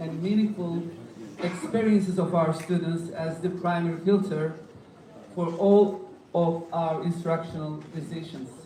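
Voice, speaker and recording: A fairly slow pace with a Turkish accent, against noticeable background noise. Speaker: conference moderator. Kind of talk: formal introduction. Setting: conference hall with audience.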